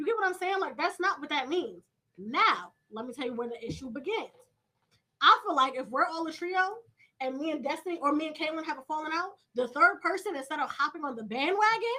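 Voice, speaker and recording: Bright and sharp in tone, a woman with high pitch speaks in a raised, projected voice at a fairly quick pace, animated in tone and with very wide pitch swings. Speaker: podcast guest, college student. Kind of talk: casual chat. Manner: loud.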